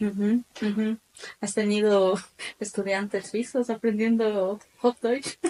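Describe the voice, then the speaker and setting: Very slow speech from a woman, monotone and flat, with long, frequent pauses and a dry, close sound with no echo. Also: fairly high pitch for a woman. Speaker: podcast host. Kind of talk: podcast interview.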